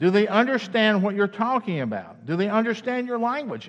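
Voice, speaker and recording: A man talks with a Southern US accent. The background is quiet. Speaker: campus minister. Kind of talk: sermon. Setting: church. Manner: halting, many fillers.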